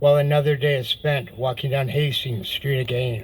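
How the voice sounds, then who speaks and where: Speaking at a moderate pace, a man has a fairly high pitch and fairly even intonation. His voice is somewhat breathy. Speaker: poet. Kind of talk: poetry reading.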